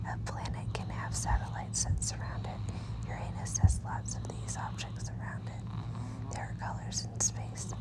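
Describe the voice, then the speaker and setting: A woman whispers at a moderate pace with hardly any pauses. Noticeable background noise runs underneath. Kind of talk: children's bedtime story reading, ASMR. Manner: whispered.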